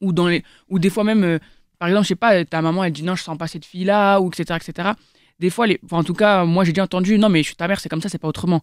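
A woman speaks very fast with a fairly low pitch and fairly even intonation. The recording is very clean, dry, and close, with a silent background and no echo. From France, Seine-et-Marne (Paris suburbs). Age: 20s. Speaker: young debater. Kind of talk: casual debate.

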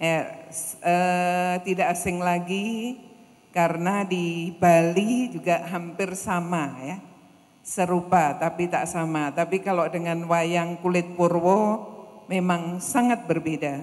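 A woman's fairly low voice at a very slow pace. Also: fairly even intonation. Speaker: event host or moderator. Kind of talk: formal event announcement. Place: hall. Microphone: handheld.

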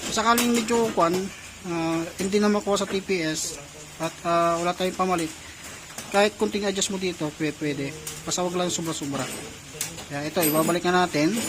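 Noticeable background noise accompanies a fairly quick pace broken by long, frequent pauses. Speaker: motorcycle mechanic. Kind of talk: tutorial.

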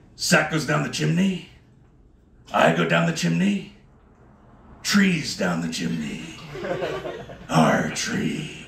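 A man speaks at a very slow pace with long, frequent pauses, his voice carrying audible room echo over light background noise. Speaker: stand-up comedian. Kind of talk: stand-up comedy set. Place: bar.

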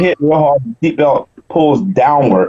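The setting is quiet as a man speaks. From US South, South Carolina. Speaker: wheelchair bodybuilding champion. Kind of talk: interview. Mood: recounts a car crash story. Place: home room. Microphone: video call.

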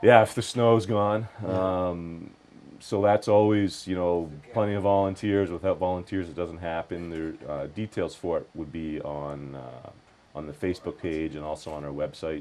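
A man with a very deep, low pitch talks at a moderate pace with ordinary pitch variation over light background noise. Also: big swings in loudness. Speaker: guest. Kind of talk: interview answer. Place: studio. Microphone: lapel.

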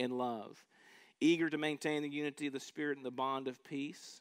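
Against a quiet background, the voice moves at a fairly quick pace with monotone, flat intonation. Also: man. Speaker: pastor. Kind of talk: sermon, reading scripture. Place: church. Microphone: headset.

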